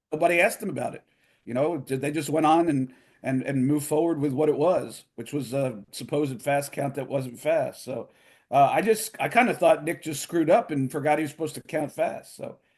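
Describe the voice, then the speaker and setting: Pitch moves in an ordinary way throughout an unremarkable speaking voice. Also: man, fairly high pitch for a man. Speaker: wrestling ring announcer and podcast host. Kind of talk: casual interview answer. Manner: conversational, relaxed.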